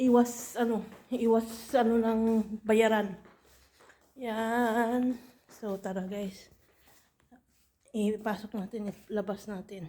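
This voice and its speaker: A woman speaks at a fairly high pitch with a dark, mellow tone and monotone, flat intonation. Her pace is very slow, with long, frequent pauses and big swings in loudness. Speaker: vlogger. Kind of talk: casual vlog. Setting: at home. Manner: halting, many fillers.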